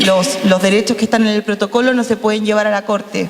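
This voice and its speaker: Noticeable background noise under a woman's speech, medium in pitch, with ordinary pitch variation. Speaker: lawyer, panel speaker. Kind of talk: panel talk. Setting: panel with audience. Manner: fast.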